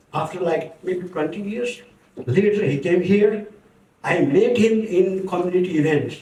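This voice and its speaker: The speech moves at a fairly slow pace with ordinary pitch variation, and room echo is audible. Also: man, high pitch for a man. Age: 70s. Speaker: community speaker. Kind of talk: tribute speech. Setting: book launch event with audience.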